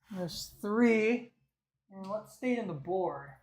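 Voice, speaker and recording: The voice is quiet and the pace fairly slow. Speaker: streamer building a PC. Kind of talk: live stream tutorial. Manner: casual, thinking aloud. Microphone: mic turned up after being too quiet.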